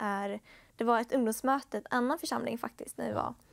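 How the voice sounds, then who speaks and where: Over a quiet background, a woman speaks with a fairly high pitch. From Sweden (Upplands Väsby, Stockholm area); Sweden. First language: Finnish (speaking Swedish). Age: young. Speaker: bible school student; talk show guest. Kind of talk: testimony. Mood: calm, reflective. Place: studio. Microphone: lapel.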